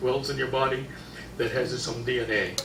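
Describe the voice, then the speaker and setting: Noticeable background noise and audible room echo behind a male voice. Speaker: health seminar speaker. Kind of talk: lecture. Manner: loud.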